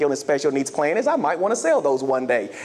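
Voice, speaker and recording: With an animated tone, a man speaks at a very fast pace. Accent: Southern US. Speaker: health insurance sales executive. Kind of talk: motivational keynote speech. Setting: stage with audience.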